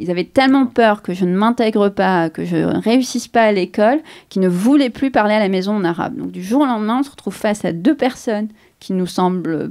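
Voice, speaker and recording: A woman talks at a very fast pace in a fairly high pitch. The recording is very clean, with a silent background. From Algeria, Algiers. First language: Arabic (speaking French). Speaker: novelist. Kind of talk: interview. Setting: outdoors, museum gardens. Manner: hesitant, many repetitions and fillers.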